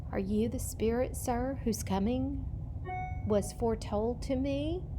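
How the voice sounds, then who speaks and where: Over loud background noise, a woman performs a put-on character voice at a fairly slow pace. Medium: read story.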